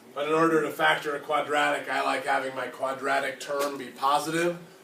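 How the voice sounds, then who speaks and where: A man is speaking over noticeable background noise. The room adds audible echo. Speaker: math teacher. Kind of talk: classroom lecture.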